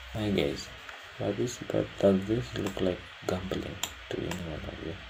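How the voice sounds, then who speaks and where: A man with a very deep, low pitch speaks at a moderate pace with lively intonation. Noticeable background noise and audible room echo surround him. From Kenya. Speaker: day trader streaming his trades. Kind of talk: casual live commentary.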